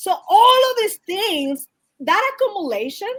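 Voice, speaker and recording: A loud woman's voice at a very slow pace. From Dominican Republic. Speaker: behavioral health specialist. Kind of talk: interview discussion.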